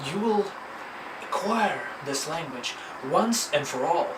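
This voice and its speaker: In a Russian accent, a speaker talks fairly slowly with lively intonation amid audible room echo and noticeable background noise. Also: man. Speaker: language teacher. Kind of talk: tutorial. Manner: animated.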